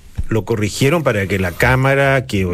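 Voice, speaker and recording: A man speaks at a medium pitch with noticeable background noise behind him. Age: old. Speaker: radio panelist. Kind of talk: casual chat. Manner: halting.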